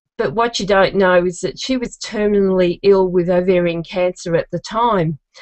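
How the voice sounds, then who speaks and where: Speaking with an Australian accent, a woman keeps her intonation fairly even. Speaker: genealogist, contest finalist. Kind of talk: contest pitch video testimony.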